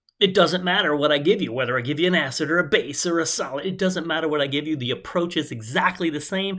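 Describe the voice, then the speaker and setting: Very fast, bright and sharp speech from a high-pitched man, with audible room echo. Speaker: chemistry teacher. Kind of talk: lecture.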